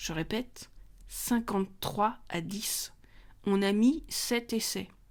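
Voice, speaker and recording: In a very clean recording with a silent background, a woman talks at a very slow pace with ordinary pitch variation. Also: medium pitch for a woman. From France. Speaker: podcast host. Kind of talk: personal monologue podcast. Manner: animated.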